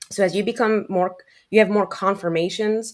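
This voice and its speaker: In a very clean recording with a silent background, a woman speaks at medium pitch in an animated tone with a New York accent. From New York, the Bronx. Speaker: trading educator. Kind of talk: panel discussion. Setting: live podcast. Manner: direct, animated.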